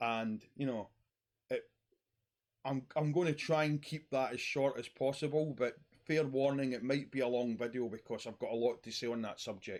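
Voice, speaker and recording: A man speaks at a moderate pace and medium pitch with fairly even intonation. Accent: Scottish. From Scotland. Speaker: YouTuber talking about mental health. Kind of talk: personal monologue vlog.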